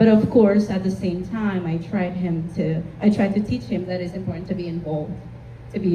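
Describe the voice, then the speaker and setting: A woman speaks at a moderate pace with a Spanish accent. The room echo is audible and the background noise is noticeable. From Honduras. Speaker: community panelist, marketing consultant. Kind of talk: panel discussion.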